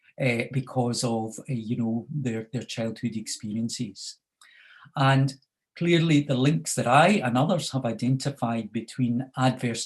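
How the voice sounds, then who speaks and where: A somewhat breathy voice with a Scottish accent and ordinary pitch variation. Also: man. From Scotland. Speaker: researcher on youth crime and addiction. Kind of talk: panel presentation. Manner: halting, many fillers.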